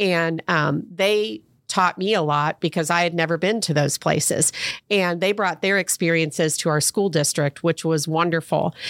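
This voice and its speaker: A woman with an American accent speaks in an unremarkable speaking voice, fairly low in pitch, with ordinary pitch variation and very even loudness. The pace is moderate, and the sound is dry and close with no echo. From Ohio (Fairborn). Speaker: school public relations director. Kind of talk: interview.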